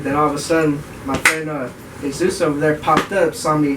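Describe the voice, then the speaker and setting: A man with an American accent speaks at a fairly quick pace in a fairly high pitch. Noticeable background noise sits behind him. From US West Coast, Bay Area (Oakland). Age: 20s. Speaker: car enthusiast group member. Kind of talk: casual self-introduction. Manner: casual, laid-back.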